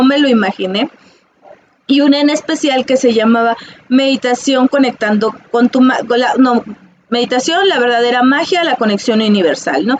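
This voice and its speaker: Moderately paced, a woman talks in a high pitch with ordinary pitch variation. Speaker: psychologist and holistic teacher. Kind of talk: casual monologue to viewers. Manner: halting, many fillers.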